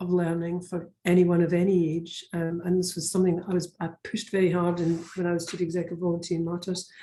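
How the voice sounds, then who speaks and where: A woman with a Scottish accent speaks at a fairly quick pace, her fairly low voice dark and mellow in tone. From Scotland. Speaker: education network leader. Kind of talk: webinar presentation. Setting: video call. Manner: halting, many fillers.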